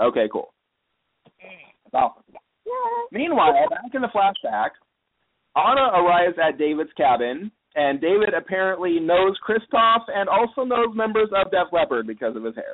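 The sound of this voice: A man talks at a high pitch, his voice making big pitch swings. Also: moderate pace.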